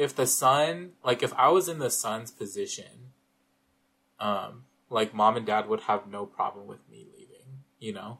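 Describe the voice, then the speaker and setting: With an American accent and a bright, sharp tone, a man talks at a very slow pace. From US West Coast, Northern California. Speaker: podcast host, film reviewer. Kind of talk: casual chat. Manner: hesitant, frequent filler words.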